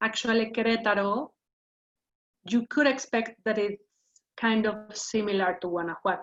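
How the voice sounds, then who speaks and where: A woman with a Mexican accent, fairly high-pitched, at a moderate pace. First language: Spanish. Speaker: wine educator. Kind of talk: lecture. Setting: video call. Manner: halting.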